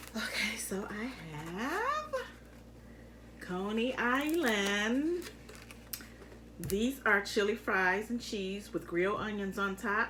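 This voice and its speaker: Over noticeable background noise, a woman with an American accent speaks at a very slow pace in a fairly high voice, with ordinary pitch variation and long, frequent pauses. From Detroit, Michigan. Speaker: mukbang youtuber. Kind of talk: casual eating-show chat. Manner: halting with fillers.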